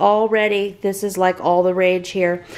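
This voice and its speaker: A woman is talking. Her pace is fairly slow. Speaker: family vlogger. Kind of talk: casual vlog chat. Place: home room. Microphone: phone near.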